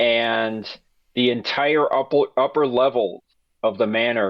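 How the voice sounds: Ordinary pitch variation runs through a natural reading voice. The background is quiet.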